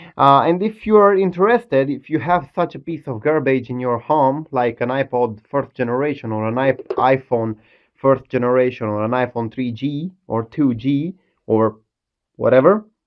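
Over a quiet background, the talking moves at a moderate pace. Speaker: tech hobbyist demonstrating a hack. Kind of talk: casual tech demo commentary. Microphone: phone near.

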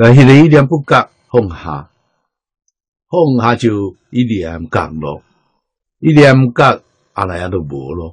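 A man's somewhat breathy, medium-pitched voice at a very slow pace, with very wide pitch swings, big swings in loudness, long, frequent pauses, and a dry, close sound with no echo. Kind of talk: lecture.

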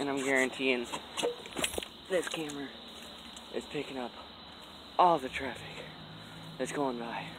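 A man speaks at a moderate pace with fairly even intonation and long, frequent pauses. The sound is dry with no echo, over noticeable background noise. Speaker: vlogger. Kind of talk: casual vlog monologue. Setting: outdoors. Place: open country. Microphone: phone near.

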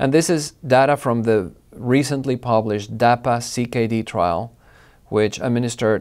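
The man's voice rises and falls in an ordinary way over a quiet background. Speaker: presenter. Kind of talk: lecture. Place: studio. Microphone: lapel.

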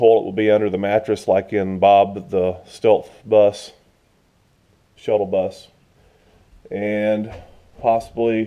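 Very slow, monotone, flat delivery from a man with fairly low pitch, against a quiet background. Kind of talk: casual vlog chat. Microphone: phone near.

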